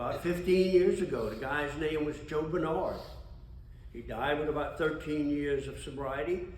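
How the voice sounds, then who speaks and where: There is audible room echo and noticeable background noise as a man with a fairly high pitch speaks at a moderate pace. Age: 80s+. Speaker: AA speaker, recovering alcoholic. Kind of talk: testimony. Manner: conversational.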